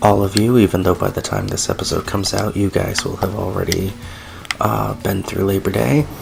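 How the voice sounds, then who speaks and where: A man whispers quietly with music in the background. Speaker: gaming YouTuber. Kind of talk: let's play commentary. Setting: home recording at night. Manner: quiet, near whisper; hesitant, many fillers.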